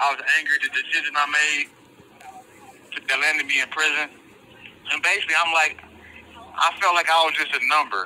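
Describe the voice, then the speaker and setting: The man talks at a fairly quick pace with long, frequent pauses, and noticeable background noise is present. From Detroit area, Michigan, US. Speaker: incarcerated author. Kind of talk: interview. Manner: halting.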